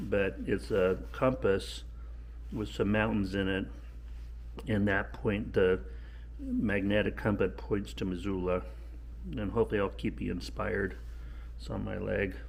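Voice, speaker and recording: In a room with audible echo, a man with a very deep, low pitch and vocal fry talks fairly slowly, his pitch swinging very widely between long, frequent pauses. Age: 60s. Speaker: vlogger, long-distance hiker. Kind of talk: casual vlog. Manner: halting, many fillers.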